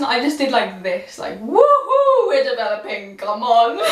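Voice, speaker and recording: Loud, animated woman at a fairly slow pace, with ordinary pitch variation and audible room echo. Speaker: YouTuber. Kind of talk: casual vlog talk to camera.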